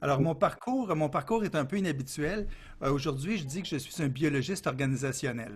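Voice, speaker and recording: Somewhat breathy and fairly high-pitched, a man talks with a Quebec accent at a moderate pace. His pitch varies in an ordinary way, and the recording is very clean with a silent background. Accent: Québécois French. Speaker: consultant. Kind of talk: interview. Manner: lively, cheerful.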